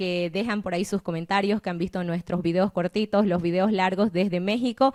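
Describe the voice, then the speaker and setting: It is a woman's ordinary speaking voice at medium pitch and moderate pace. The sound is dry and close with no echo. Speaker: podcast host. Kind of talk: interview.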